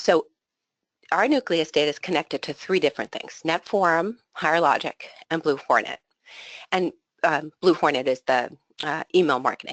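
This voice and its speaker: Against a quiet background, a woman talks at a fairly low pitch with ordinary pitch variation. The sound is dry and close with no echo. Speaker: association executive. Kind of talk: webinar presentation. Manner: fast.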